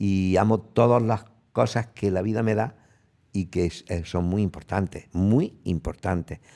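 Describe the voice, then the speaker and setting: A dark, mellow tone at a fairly slow pace, with ordinary pitch variation, on a very clean recording with a silent background. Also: man, fairly low pitch for a man. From Spain, Sierra de Segura, Jaén. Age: 70s. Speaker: physician and sexologist. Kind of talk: interview.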